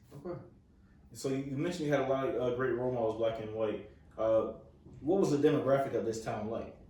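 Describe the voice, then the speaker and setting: A man with an American accent and medium pitch speaks at a very fast pace, broken by long, frequent pauses. Audible room echo and noticeable background noise are present. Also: ordinary pitch variation. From Florida. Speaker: interviewer. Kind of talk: interview.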